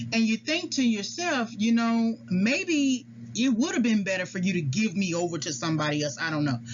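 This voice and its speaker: A woman's medium-pitched voice with very wide pitch swings, at a moderate pace, over noticeable background noise. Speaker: psychology educator. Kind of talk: lecture. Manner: halting.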